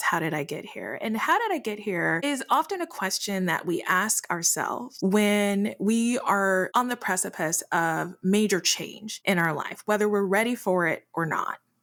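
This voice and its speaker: A woman talks at a moderate pace in an American accent. Her pitch is medium and her intonation is lively. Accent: shifts between Midwest and Southern. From Detroit, family from US South. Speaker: podcast co-host, entrepreneur. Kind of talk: casual chat.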